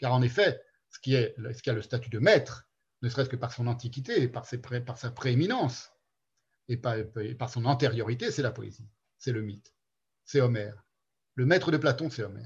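A somewhat breathy man talks at a medium pitch and a moderate pace, his intonation fairly even, his loudness swinging widely, and his pauses long and frequent. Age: 50s. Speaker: philosophy seminar lecturer. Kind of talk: lecture. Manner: halting.

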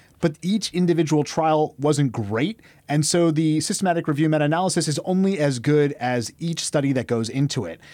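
A man's plain, everyday voice at a fairly quick pace, with ordinary pitch variation, on a very clean recording with a silent background. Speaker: podcast guest, emergency physician. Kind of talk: medical, conversational.

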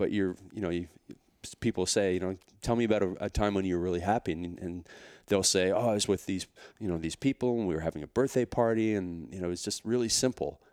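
A man with a Canadian accent talks at a very fast pace in a very deep, low pitch, with ordinary pitch variation. The recording is very clean, with a silent background and a dry, close sound with no echo. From Canada. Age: 40s. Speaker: fitness entrepreneur and author. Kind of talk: casual interview chat.

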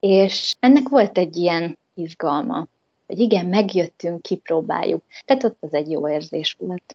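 A woman's fairly low, dark and mellow voice, with lively intonation at a fairly slow pace. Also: dry, close sound with no echo. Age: 30s. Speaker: returning emigrant, mother. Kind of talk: interview.

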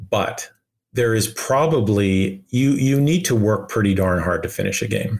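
In a Canadian accent, a man speaks at a moderate pace with fairly low pitch. He has a normal speaking voice. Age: 50s. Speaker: video game director. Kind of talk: interview.

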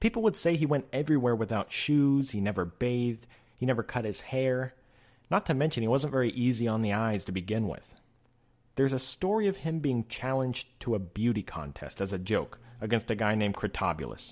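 Lively intonation marks a man's unremarkable speaking voice at medium pitch. He moves at a fairly quick pace. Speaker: podcast host. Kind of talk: educational podcast monologue. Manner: informal, conversational.

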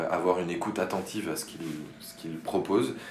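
A man speaks with a very deep, low pitch. Audible room echo and noticeable background noise surround him. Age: 30s. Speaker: architect, cooperative co-founder. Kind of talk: interview. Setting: in his office. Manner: halting.

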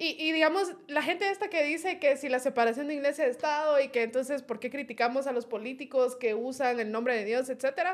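Barely pausing at all, a woman races along at a very fast pace in a high voice. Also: ordinary pitch variation. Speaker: political analyst. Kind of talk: casual political discussion. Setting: studio.

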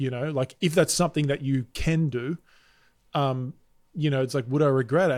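On a very clean recording with a silent background, a man with an Australian accent speaks fairly quickly in a fairly high voice with ordinary pitch variation. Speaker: presentation and sales coach, keynote speaker. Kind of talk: podcast interview.

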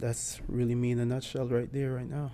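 With an American accent, a man speaks in a flat, monotone way over noticeable background noise. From Bloomfield, Connecticut. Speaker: professional soccer player. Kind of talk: casual chat.

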